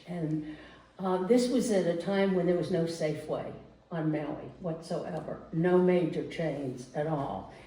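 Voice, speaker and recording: A woman's fairly low voice at a fairly slow pace, fairly even in intonation, with audible room echo. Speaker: storyteller. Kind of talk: personal storytelling to a live audience. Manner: conversational, with hesitations.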